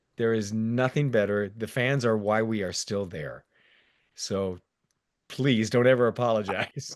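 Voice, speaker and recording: A man's medium-pitched voice with ordinary pitch variation, an ordinary speaking voice. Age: 60s. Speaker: theme park stunt performer. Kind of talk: casual chat.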